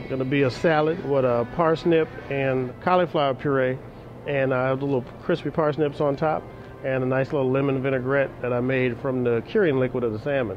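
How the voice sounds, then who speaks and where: Music plays in the background as someone with an American accent speaks at a fairly quick pace. The intonation stays fairly even. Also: man, medium pitch for a man. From US Pacific Northwest, Seattle. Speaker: chef. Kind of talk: interview. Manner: halting.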